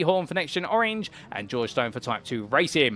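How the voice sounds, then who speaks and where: Swinging very widely in pitch, a man talks in a fairly high voice. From London, later Kent (England). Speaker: sim racing commentator. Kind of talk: live commentary. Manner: animated.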